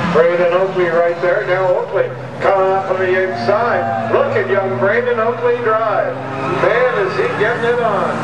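Loud background noise runs under speech delivered at a moderate pace. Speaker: track announcer. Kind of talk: live race commentary over the track PA. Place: stadium.

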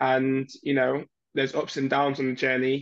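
Against a quiet background, the speaker goes at a fairly quick pace with monotone, flat intonation. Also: man. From northern England, Leeds; northern England. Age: 20s. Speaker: Olympic diver. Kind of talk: interview. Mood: warm, encouraging. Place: home room. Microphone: webcam.

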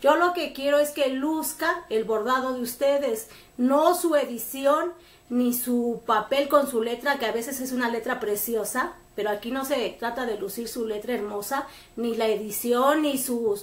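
The woman's pitch is high, with ordinary variation. Her pace is fairly slow. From Mexico. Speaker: embroidery group leader. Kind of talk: tutorial. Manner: casual, rambling self-corrections. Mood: firm, admonishing but calm. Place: home room. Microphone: camera far.

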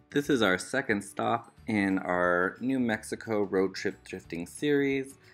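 Faint music plays behind a man as he speaks. His pitch is fairly low, with ordinary variation. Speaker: thrift vlogger. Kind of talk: casual vlog chat. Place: shop. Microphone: phone near.

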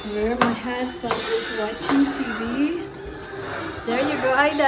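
With music in the background, a woman speaks at a very slow pace with ordinary pitch variation. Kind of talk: casual vlog chat. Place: home room. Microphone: phone near.

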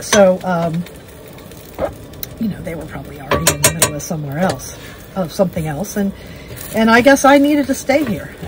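Very wide pitch swings and big swings in loudness at a fairly quick pace, over noticeable background noise. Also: woman, medium pitch for a woman. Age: 60s. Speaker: solo van-life traveler. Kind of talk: casual talk to camera, vlog. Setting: outdoors in a van. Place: car. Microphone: camera far.

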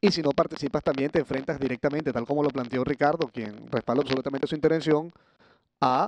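A man with a fairly high pitch speaks at a fairly quick pace with ordinary pitch variation, the sound dry with no echo. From Venezuela. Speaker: opposition politician. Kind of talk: panel speech. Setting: conference stage with audience. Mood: earnest, grave. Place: stage. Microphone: podium.

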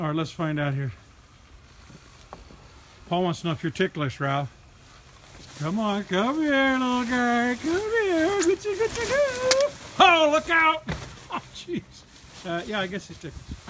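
A raised, projected voice moves at a fairly slow pace with long, frequent pauses amid noticeable background noise. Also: man. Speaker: live-stream host. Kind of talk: playful commentary. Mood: amused, teasing. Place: garden. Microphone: phone near.

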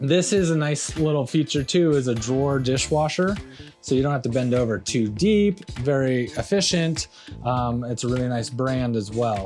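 Clear music plays in the background while a man keeps a moderate pace. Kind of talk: home tour explanation. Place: home room.

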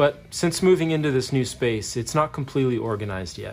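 Somewhat breathy speech, fairly quick, with lively intonation. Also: man. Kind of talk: tutorial narration. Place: home room.

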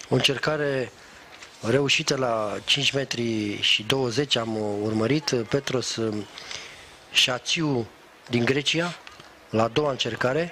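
A man with a medium pitch speaks at a very slow pace, with long, frequent pauses and ordinary pitch variation, against noticeable background noise. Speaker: sports commentator. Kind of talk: live sports commentary.

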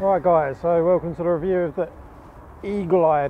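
A man's high-pitched voice at a moderate pace, with fairly even intonation. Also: dry sound with no echo. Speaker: e-bike reviewer. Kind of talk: casual review commentary while riding. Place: bicycle. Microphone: lapel.

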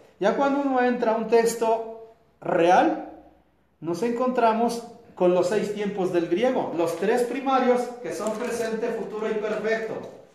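A man's high-pitched voice at a fairly slow pace, with audible room echo. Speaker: classics teacher. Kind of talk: lecture. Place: classroom.

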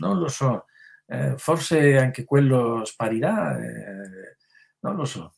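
Against a quiet background, a man at medium pitch talks very slowly with long, frequent pauses and very wide pitch swings. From Spain. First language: Spanish (speaking Italian). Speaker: writer and translator; guest. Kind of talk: online author interview. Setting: online video call. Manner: halting, many repetitions. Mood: reflective, thoughtful. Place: home room. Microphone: webcam.

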